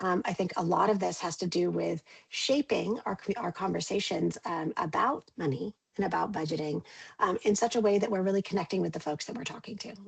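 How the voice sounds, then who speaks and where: Speaking at a fairly quick pace, a woman talks with vocal fry. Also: medium pitch for a woman, ordinary pitch variation. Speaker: communications consultant. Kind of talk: webinar presentation. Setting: video call. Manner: fast.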